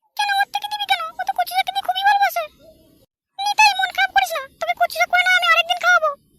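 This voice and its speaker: In a cartoonish character voice, a woman talks very fast at an extremely high pitch, the sound dry and close with no echo. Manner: sharp, demanding.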